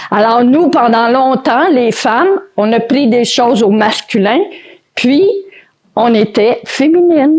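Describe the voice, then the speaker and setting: At a very slow pace, a woman speaks with a high pitch, lively intonation and very even loudness. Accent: Quebec. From Quebec. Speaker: motivational speaker and author. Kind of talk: conference talk. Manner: spontaneous, improvised.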